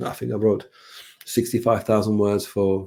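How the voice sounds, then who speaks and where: In a Czech accent, a man of medium pitch speaks at a moderate pace with monotone, flat intonation. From Czech Republic. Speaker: brand designer and author. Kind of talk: podcast interview. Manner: halting, many repetitions.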